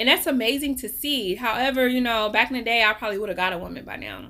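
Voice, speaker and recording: In a very clean recording with a silent background, a woman speaks at a moderate pace in a bright, sharp, animated tone. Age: 40s. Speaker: life coach. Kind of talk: casual vlog monologue.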